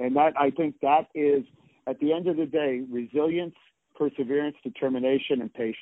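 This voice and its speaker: A man speaks with an American accent in a normal speaking voice. His pitch variation is ordinary. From New York City. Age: 50s. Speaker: martial arts grandmaster and former champion. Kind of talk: interview.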